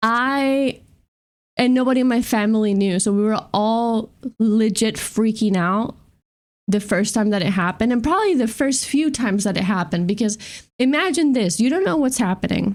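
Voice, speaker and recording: Speaking with a Spanish accent, a woman uses an animated tone and lively intonation at a fairly high pitch, keeping a moderate pace and very even loudness in a very clean recording with a silent background. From Spain. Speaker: streamer. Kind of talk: casual chat.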